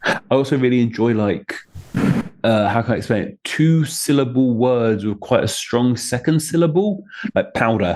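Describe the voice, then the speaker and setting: Lively intonation marks this man's speech, delivered with a southern English accent. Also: medium pitch for a man, moderate pace. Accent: southern English (British English). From southeast England. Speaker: name origins video creator and author. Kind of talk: casual chat.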